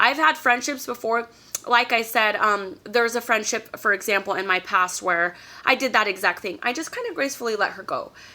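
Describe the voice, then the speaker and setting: A loud woman with an animated tone and fairly high pitch speaks at a fairly quick pace with ordinary pitch variation. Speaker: YouTube vlogger. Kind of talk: casual advice vlog.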